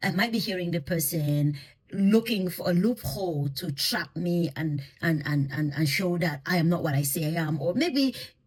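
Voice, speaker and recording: A woman at a fairly low pitch and a moderate pace. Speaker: intercultural communication consultant. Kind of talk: educational talk on listening.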